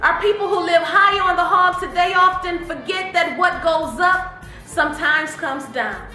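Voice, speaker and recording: A woman with an American accent speaks in a raised, projected voice at an extremely high pitch, with music playing in the background. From Detroit, Michigan. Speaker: spoken word poet. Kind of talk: poetry reading. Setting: studio.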